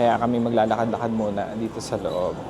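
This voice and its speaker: Soft-spoken and medium in pitch, a man talks at a moderate pace amid audible room echo and noticeable background noise. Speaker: travel vlogger. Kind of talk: casual vlog narration. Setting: outdoors and in a mall, walking. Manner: soft-spoken inside the mall.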